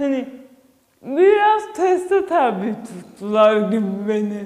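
The speaker goes at a very slow pace against a quiet background. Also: woman. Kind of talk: interview testimony. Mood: animated, telling an anecdote. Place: classroom.

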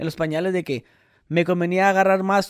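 The background is quiet here. A man speaks at a fairly quick clip. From Mexicali, Baja California, Mexico. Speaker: podcast co-host. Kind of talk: casual chat. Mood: relaxed, joking storytelling. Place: home room. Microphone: studio mic.

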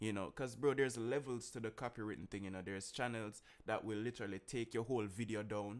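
A man with a fairly low pitch talks at a very fast pace with fairly even intonation. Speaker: streamer reacting to music. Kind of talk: casual vlog chat. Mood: annoyed but joking. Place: home room. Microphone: studio mic.

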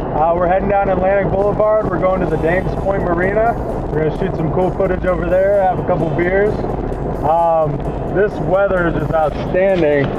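Loud background noise fills the clip. Over it, a man talks at a fairly quick pace. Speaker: energy drink company founder and Navy veteran. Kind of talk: casual vlog talk to camera. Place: car. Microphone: camera far.

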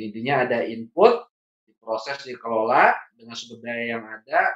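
A man speaks at a moderate pace. There is audible room echo, but the background stays quiet. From Bandung, West Java, Indonesia; West Java, Indonesia. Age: 40s. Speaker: trainer and consultant; trainer. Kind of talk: training lecture. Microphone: video call.

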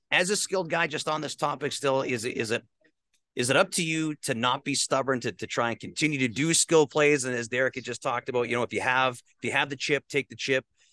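Fast speech with a bright, sharp tone and ordinary pitch variation comes through a dry, close sound with no echo. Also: man.

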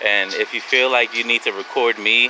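A man speaks at a moderate pace and medium pitch with fairly even intonation and a bright, sharp tone. Faint background noise can be heard.

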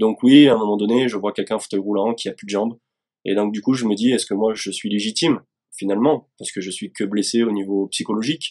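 A man talks very fast at a fairly low pitch with fairly even intonation. The background is quiet. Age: 30s. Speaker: soldier, wounded veteran; guest. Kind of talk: testimony; interview answer. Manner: halting, many repetitions. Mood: earnest, hesitant, emotional topic. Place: home room. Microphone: video call.

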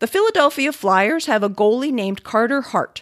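A woman's fairly high voice with an American accent, fairly quick in pace, with very wide pitch swings. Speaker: podcast co-host. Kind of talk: reading aloud listener mail.

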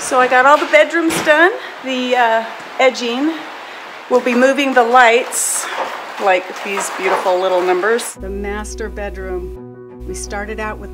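Over music in the background, a woman speaks at a fairly slow pace. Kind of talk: casual vlog chat. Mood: pleased, upbeat. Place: home room. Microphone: phone near.

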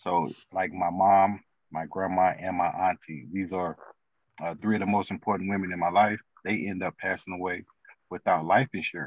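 Over a quiet background with dry sound and no echo, a man with an American accent speaks at a very deep, low pitch with fairly even intonation. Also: moderate pace. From St. Louis, Missouri; Missouri. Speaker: financial consultant; podcast guest. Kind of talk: interview. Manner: halting, many fillers. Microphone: video call.

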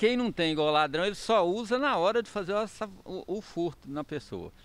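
A man's high-pitched voice with lively intonation at a moderate pace, dry with no echo. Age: 60s. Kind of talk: news interview. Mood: upset, recounting a loss. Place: street. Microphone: handheld.

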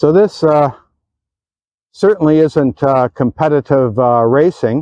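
Recorded dry and close with no echo, a man speaks at a fairly high pitch and a fairly slow pace, his dark, mellow tone carrying lively intonation.

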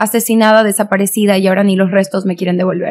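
Intonation stays monotone and flat. It belongs to a woman. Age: 20s. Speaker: beauty pageant contestant and activist; podcast guest. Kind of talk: casual chat. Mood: earnest, indignant on violence. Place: studio. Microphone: studio mic.

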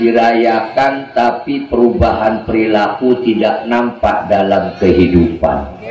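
Amid light background noise and audible room echo, a man speaks at a very slow pace with ordinary pitch variation. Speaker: religious preacher. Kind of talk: sermon. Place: stage.

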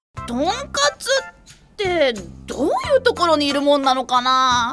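Over faint background music, a woman uses a put-on character voice pitched high. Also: moderate pace. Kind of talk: audio drama dub for toy characters.

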